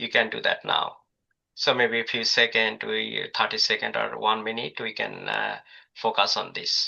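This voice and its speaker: Speaking at a moderate pace, this man has a non-native accent. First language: not English. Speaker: workshop presenter. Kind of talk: lecture. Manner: halting, many fillers.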